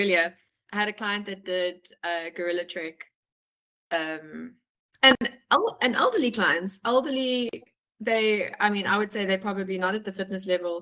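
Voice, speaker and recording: A woman's bright, sharp tone with long, frequent pauses, against a quiet background. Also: ordinary pitch variation, moderate pace. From South Africa. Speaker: travel consultant; travel company host. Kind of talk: webinar chat. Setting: video call. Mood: friendly, enthusiastic.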